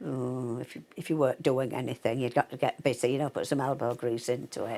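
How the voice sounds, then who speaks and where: In a Yorkshire accent, a woman speaks at a fairly quick pace. The recording is very clean, with a silent background. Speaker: artist's sister. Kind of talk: interview.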